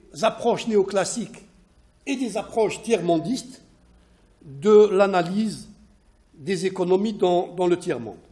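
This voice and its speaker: Slowly, very slowly, a man with a non-native accent talks in a high pitch with a dark, mellow tone. His pitch variation is ordinary. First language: not French (speaking French). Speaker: sociologist and economist researcher. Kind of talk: academic presentation. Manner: halting, many hesitations and repetitions.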